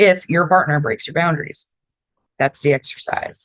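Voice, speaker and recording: This woman has an American accent. She talks at a fairly quick pace. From Florida, raised by New Yorkers. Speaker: podcast host. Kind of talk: self-help podcast monologue. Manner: casual, conversational.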